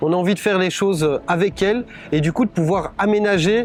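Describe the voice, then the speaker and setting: A man with a Brussels accent talks at a moderate pace in a high voice with ordinary pitch variation. Music plays in the background. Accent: Belgian French, Brussels. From Belgium, Brussels (Anderlecht). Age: 40s. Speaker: political candidate. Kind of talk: campaign presentation. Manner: hesitant, many fillers.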